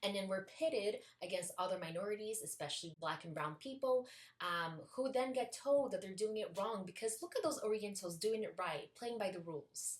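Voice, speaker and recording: With a non-native accent, a woman speaks at a moderate pace in a medium pitch with lively intonation. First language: not English. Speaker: video essayist. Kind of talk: video essay.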